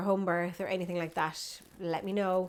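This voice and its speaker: Talking very fast in an Irish accent, a woman has a dark, mellow tone. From Ireland. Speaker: vlogger and yoga teacher. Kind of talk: casual vlog update.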